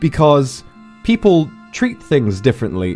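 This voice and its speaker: A man speaks with very wide swings in pitch over music playing in the background. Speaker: virtual streamer. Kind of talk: casual talk to camera.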